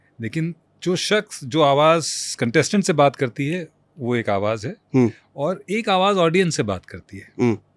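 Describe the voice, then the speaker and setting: With very wide pitch swings, a man speaks at a fairly high pitch on a very clean recording with a silent background. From India. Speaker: voice-over artist. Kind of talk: interview answer.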